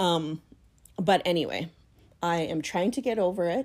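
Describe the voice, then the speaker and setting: A woman with a fairly low voice and ordinary pitch variation is heard on a very clean recording with a silent background. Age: 40s. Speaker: podcaster. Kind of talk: casual monologue. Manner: hesitant, many fillers.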